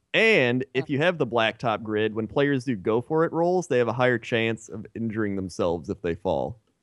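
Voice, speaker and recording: At a moderate pace, a man with an unremarkable speaking voice talks at medium pitch with lively intonation, the background quiet. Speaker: gaming YouTuber. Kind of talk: casual chat.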